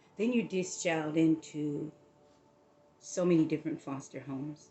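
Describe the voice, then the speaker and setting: Someone speaks in an American accent with music playing in the background. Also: woman, very deep, low pitch for a woman, ordinary pitch variation, moderate pace. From Southern California. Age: 60s. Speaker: motivational vlogger. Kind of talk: personal testimony. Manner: casual, conversational.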